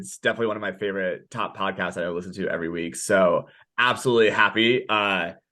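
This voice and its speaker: A loud man at a very fast pace, bright and sharp in tone. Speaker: director of sales enablement, community co-founder. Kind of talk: podcast interview. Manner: loud and boisterous.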